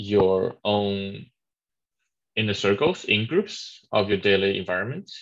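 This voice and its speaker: A man with a Chinese accent, fairly low in pitch, at a very slow pace with ordinary pitch variation, against a quiet background. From China. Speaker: webinar moderator. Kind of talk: webinar discussion. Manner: halting.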